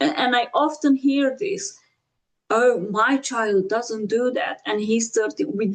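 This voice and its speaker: Speaking in a Romanian accent, a woman with a high pitch talks at a fairly slow pace with lively intonation. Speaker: podcast host. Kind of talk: interview.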